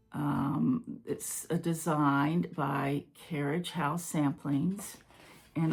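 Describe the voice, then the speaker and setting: Somewhat breathy speech at a very slow pace. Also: woman. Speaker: cross-stitch video creator. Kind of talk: casual hobby show-and-tell. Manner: casual, with filler words.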